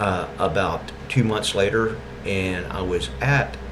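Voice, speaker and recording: A man with an East Texas accent and lively intonation, against audible room echo and noticeable background noise. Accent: East Texas Southern drawl. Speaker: video blogger. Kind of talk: monologue.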